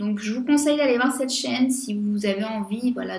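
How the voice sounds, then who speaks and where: A woman speaks with a French accent. Her pitch variation is ordinary. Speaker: beauty youtuber. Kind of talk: casual vlog monologue. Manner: hesitant, many fillers.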